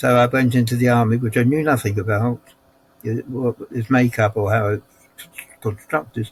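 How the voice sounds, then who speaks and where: With a London accent, a man at medium pitch keeps to a moderate pace. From South London, England. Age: 80s+. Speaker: war veteran. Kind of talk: interview answer.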